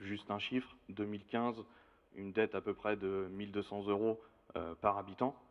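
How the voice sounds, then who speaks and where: A man at a fairly low pitch, monotone, flat intonation and moderate pace. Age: 30s. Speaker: outgoing municipal councillor. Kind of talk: campaign self-introduction.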